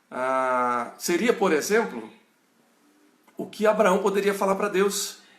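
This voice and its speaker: A man speaks in a high pitch. Audible room echo surrounds his voice. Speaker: pastor. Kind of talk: bible study lecture. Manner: halting.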